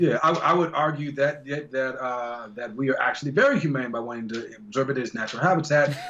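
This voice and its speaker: An animated, fairly high male voice with ordinary pitch variation, amid noticeable background noise. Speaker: voice actor. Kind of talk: interview answer. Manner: casual, animated.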